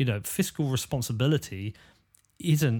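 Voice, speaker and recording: A somewhat breathy man speaks with lively intonation in a very clean recording against a silent background. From England, Bedford. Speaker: podcast host. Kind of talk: casual interview. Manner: hesitant, many fillers.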